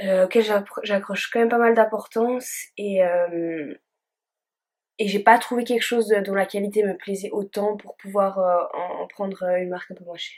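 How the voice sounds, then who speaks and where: A woman speaks at a medium pitch and moderate pace with fairly even intonation. Her loudness swings widely. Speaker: beauty vlogger. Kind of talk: makeup tutorial chat. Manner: hesitant, many fillers.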